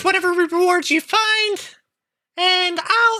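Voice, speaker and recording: A squeaky, female-sounding put-on character voice moves at a very slow pace. The recording is very clean, with a silent background. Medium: actual play. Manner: firm, businesslike.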